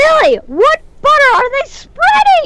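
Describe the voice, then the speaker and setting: A woman puts on a squeaky character voice, pitched extremely high with very wide swings. She speaks at a fairly slow pace. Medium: actual play.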